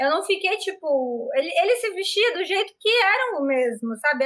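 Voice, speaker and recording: A shrill woman's voice with very wide pitch swings, at a moderate pace. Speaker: live show host. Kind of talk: casual chat. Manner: animated.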